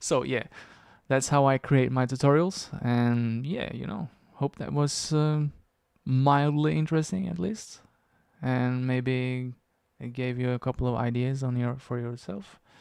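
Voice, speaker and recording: A man at medium pitch with ordinary pitch variation, at a fairly slow pace, in a dry sound with no echo against a quiet background. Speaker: YouTube tutorial creator. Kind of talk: screen-recorded editing walkthrough. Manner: casual, thinking aloud.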